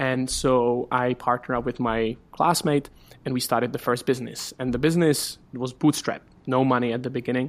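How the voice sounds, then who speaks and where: A man with a Czech accent speaks at medium pitch and a fairly quick pace, in a monotone, flat intonation. The recording is very clean, with a silent background. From Czech Republic. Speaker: startup community director. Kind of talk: interview.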